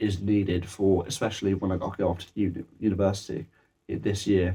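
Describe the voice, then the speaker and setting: A man's very deep, low, somewhat breathy voice with a dark, mellow tone, monotone, flat intonation and a moderate pace. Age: 18. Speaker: music student. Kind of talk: project evaluation talk. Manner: halting, many fillers and restarts.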